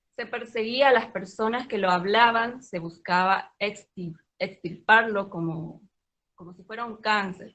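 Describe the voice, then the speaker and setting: A woman with a fairly high pitch speaks fairly slowly, with ordinary pitch variation. Her loudness swings widely. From Paraguay (Pilar). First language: Guaraní (speaking Spanish). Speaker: Guaraní language teacher. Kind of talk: reading aloud a prepared talk.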